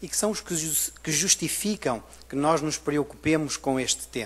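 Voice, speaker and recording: A man talks in a European Portuguese accent. His pitch is fairly high and his pace moderate. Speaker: university researcher. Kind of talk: conference presentation.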